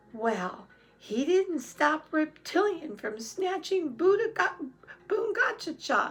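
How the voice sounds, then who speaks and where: Using a put-on character voice, a woman speaks at an extremely high pitch. Her pitch swings very widely at a fairly slow pace. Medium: read story. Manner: stubborn.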